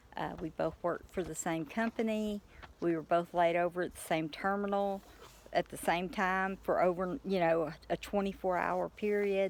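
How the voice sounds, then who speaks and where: This woman has an East Texas accent and a fairly low pitch. She speaks at a moderate pace with fairly even intonation. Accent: East Texas Southern US. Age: 50s. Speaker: farmer, retired truck driver. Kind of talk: casual vlog monologue.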